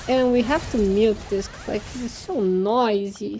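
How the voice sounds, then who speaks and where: A woman speaks with a Portuguese accent at a fairly slow pace. Noticeable background noise can be heard. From Brazil. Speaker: vtuber and game streamer. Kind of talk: casual live-stream chat while gaming. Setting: live stream. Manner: halting, with fillers and restarts.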